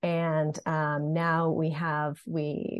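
The woman's pitch is very deep and low, and her intonation is fairly even. She speaks in an American accent. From Massachusetts, north of Boston. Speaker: startup co-founder. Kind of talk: casual interview.

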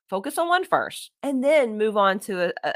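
A woman talks loudly in an animated tone, her pitch swinging very widely. The sound is dry and close, with no echo. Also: very clean recording, silent background. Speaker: podcast host, social media coach. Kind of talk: solo podcast tutorial.

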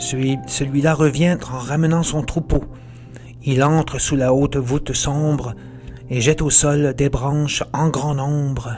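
Music plays behind a man whose fairly high, theatrical voice moves at a very slow pace with monotone, flat intonation. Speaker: author and podcast narrator. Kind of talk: dramatic verse narration, retelling the Odyssey as a gripping epic tale; scripted narration with a promo intro and outro. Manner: theatrical, vivid and suspenseful, with rising menace at the Cyclops scenes.

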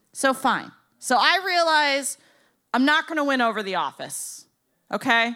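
With an American accent, a woman uses a raised, projected voice that is high, bright and sharp. She speaks fairly slowly with lively intonation and long, frequent pauses. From Boca Raton, Florida. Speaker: tattoo shop owner and stand-up comedian. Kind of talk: comedic live storytelling. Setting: stage with audience.

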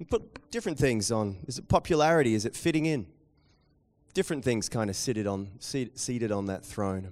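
A man with a New Zealand accent talks at a fairly quick pace, his intonation lively. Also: medium pitch for a man, very clean recording, silent background. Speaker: pastor. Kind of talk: sermon. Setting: church with live audience.

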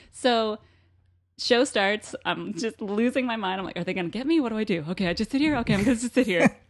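Speaking very fast in an American accent, a woman sounds animated, with lively intonation. Her pitch is fairly high, and the background is quiet. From Vermont, US. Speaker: bartender. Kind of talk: casual chat.

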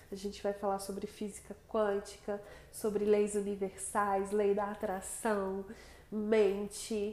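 A woman's monotone, flat delivery at a very slow pace. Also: medium pitch for a woman. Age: 20s. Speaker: integrative therapist and podcast host. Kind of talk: casual monologue introducing the podcast.

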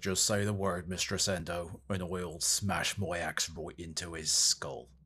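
A man's put-on character voice, growling and very deep and low, at a fairly slow pace. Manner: gruff, protective.

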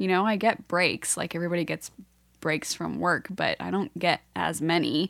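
A woman with an American accent speaks at a fairly low pitch and moderate pace, with vocal fry and fairly even intonation, in a dry, close sound with no echo on a very clean recording with a silent background. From Pennsylvania. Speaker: host's wife. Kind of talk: casual chat. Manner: quiet, half volume.

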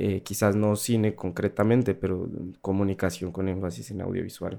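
On a very clean recording with a silent background, a man speaks at a moderate pace in a fairly low, dark, mellow voice with ordinary pitch variation. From Colombia, Pasto (Nariño). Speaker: sound designer. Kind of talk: radio interview. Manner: hesitant, many fillers and repetitions.

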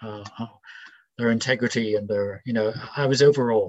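The speaker has a Northern Irish accent and fairly even intonation. The pace is moderate. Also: man. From Northern Ireland (Belfast). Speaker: retired civil servant. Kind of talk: casual interview. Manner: hesitant, thoughtful.

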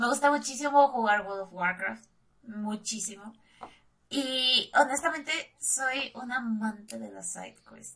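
In a Mexican accent, a woman speaks very slowly with a fairly high pitch and a bright, sharp tone. Her pitch varies in an ordinary way while her loudness swings widely. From Mexico. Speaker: streamer. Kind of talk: casual chat.

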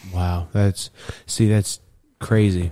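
Here is a man with an American accent. His tone is dark and mellow, with fairly even intonation. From Texas. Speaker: former cannabis industry worker. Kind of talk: casual chat.

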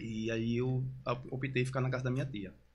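A somewhat breathy man at medium pitch, with a fairly quick pace. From Recife, Pernambuco, Brazil. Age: 30s. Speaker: brega funk singer. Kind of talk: casual interview.

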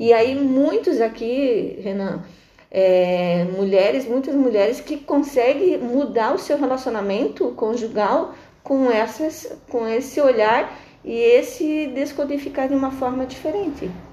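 A woman speaks at a very slow pace. Her voice is high, with lively intonation. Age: 50s. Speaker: integrative therapist. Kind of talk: interview.

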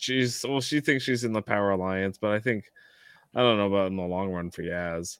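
There's an ordinary speaking voice from a man here, with ordinary pitch variation. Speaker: podcast co-host. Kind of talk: casual chat.

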